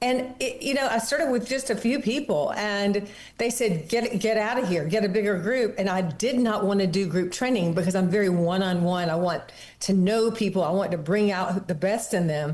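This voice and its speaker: Heard with audible room echo, a woman keeps her loudness very even and her pitch variation ordinary at a moderate pace. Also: medium pitch for a woman. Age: 70s. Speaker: fitness studio founder and author. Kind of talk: interview.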